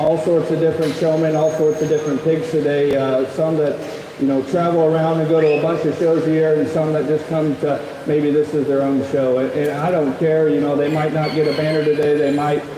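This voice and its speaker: There is audible room echo and noticeable background noise as a man speaks fairly quickly at a fairly high pitch in a monotone, flat intonation. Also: very even loudness. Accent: Midwestern US. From Nebraska. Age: 20s. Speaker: livestock show judge. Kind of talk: public address to show audience. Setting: livestock show arena. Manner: halting with many fillers.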